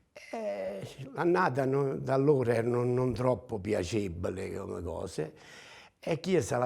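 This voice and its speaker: A man talks with vocal fry on a very clean recording with a silent background. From Campania, Irpinia (Mirabella Eclano). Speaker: ox breeder. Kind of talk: interview storytelling. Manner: hesitant, many fillers.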